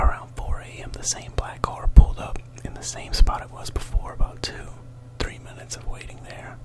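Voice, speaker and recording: Whispering amid noticeable background noise. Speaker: ASMR storyteller. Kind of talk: read story.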